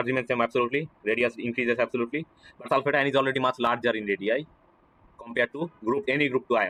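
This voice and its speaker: Recorded dry and close with no echo, a man speaks at a medium pitch with a bright, sharp tone. His pace is very fast, with ordinary pitch variation. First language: not English. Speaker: chemistry teacher. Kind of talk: lecture. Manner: halting.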